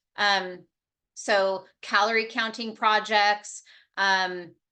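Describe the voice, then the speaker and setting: Against a quiet background, a woman's bright, sharp tone carries fairly even intonation. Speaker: registered dietitian presenter. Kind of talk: presentation. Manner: fast.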